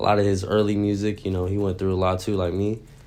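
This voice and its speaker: A man with an American accent, very deep and low in pitch, dark and mellow in tone, talking at a very fast pace amid audible room echo. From Texas, San Antonio. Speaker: rapper. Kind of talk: interview. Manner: casual, many fillers.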